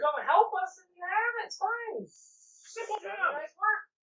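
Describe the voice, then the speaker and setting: A man puts on a squeaky character voice, pitched extremely high for a man. He talks at a moderate pace. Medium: actual play. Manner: smooth, persuasive.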